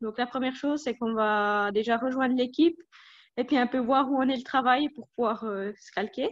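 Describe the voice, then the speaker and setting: The woman's voice sits high in pitch, and the background is quiet. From Switzerland, Jura. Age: 20s. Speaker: dairy technologist. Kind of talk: interview.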